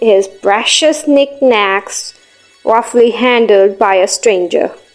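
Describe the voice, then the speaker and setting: Over music in the background, the speech moves at a very slow pace with ordinary pitch variation. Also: woman. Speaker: voice actor. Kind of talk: audiobook narration.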